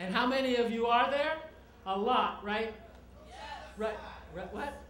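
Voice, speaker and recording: With an American accent, a woman talks at a fairly high pitch with ordinary pitch variation, over noticeable background noise and audible room echo. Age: 60s. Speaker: nonprofit president. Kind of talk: speech. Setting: stage with audience. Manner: animated.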